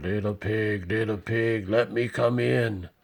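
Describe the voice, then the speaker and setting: A man puts on a character voice. It sits at a fairly low pitch and moves at a fairly slow pace. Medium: read story. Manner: roaring.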